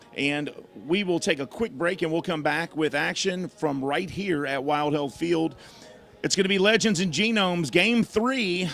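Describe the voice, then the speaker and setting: Loud and high-pitched, a man speaks at a moderate pace with lively intonation. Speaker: baseball play-by-play broadcaster. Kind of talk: live sports broadcast chat. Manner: casual, joking.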